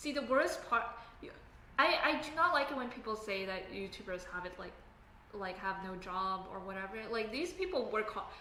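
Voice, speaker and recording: Over noticeable background noise and audible room echo, a woman talks at a moderate pace in a fairly high pitch, with very wide pitch swings and big swings in loudness. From Canada. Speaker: software engineer live streamer. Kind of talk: casual live stream chat. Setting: live stream at home desk. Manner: casual, halting with fillers.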